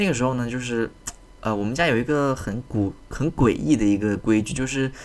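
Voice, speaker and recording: Quiet and calm, a man speaks at a moderate pace and medium pitch with ordinary pitch variation. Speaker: podcast host. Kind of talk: casual monologue. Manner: calm, quiet; hesitant, many fillers.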